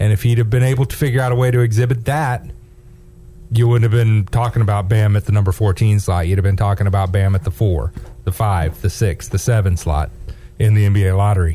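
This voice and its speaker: Fairly quick delivery with very even loudness and ordinary pitch variation, over noticeable background noise. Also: man. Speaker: radio co-host filling in. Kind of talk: casual sports radio banter. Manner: upbeat, jokey.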